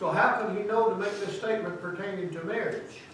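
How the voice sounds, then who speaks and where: Noticeable background noise and audible room echo surround the recording. A man speaks in a high pitch. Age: 70s. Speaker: Sunday school teacher. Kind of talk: Bible lesson. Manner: plain-spoken, folksy.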